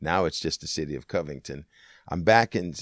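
A man with an American accent speaks at a moderate pace in a very deep, low voice with vocal fry. The recording is very clean, with a silent background. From Washington State, US. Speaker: political science professor and pastor. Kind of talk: interview. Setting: in person at a college.

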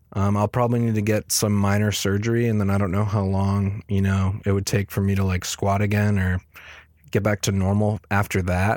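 In a very clean recording with a silent background, a man talks at a fairly quick pace and a fairly low pitch. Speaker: podcast host. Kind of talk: solo podcast update, casual. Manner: monotone; casual, filler-heavy.

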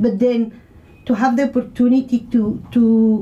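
A woman speaks with a Spanish accent. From Mexico. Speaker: community radio presenter. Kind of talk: radio interview. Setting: studio.

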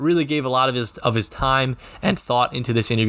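A man with a normal speaking voice talks at a fairly quick pace. His pitch is medium and his intonation fairly even. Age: 20s. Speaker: sports podcast host. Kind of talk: sports podcast recap and interview.

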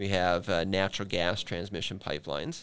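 With an Upper Midwest accent, a man talks at a fairly quick pace in a very deep, low voice on a very clean recording with a silent background. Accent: Upper Midwest (Minnesota). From Minnesota. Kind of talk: podcast interview. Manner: hesitant, many fillers.

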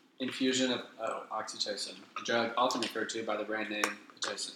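A man with a slight Southern US accent, medium pitch and an animated tone, talking at a fairly quick pace over noticeable background noise. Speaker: podcast co-host. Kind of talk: casual comedic banter. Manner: animated, joking.

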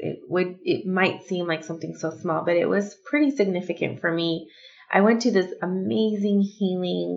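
Her tone is animated, with ordinary pitch variation at a medium pitch. The woman speaks at a moderate pace. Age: 30s. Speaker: podcast co-host. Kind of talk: casual chat. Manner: animated, laughing often.

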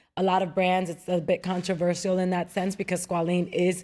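A voice with an American accent comes through on a very clean recording with a silent background. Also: woman. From Queens, New York, Dominican background. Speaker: TV host and actress. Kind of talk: casual interview.

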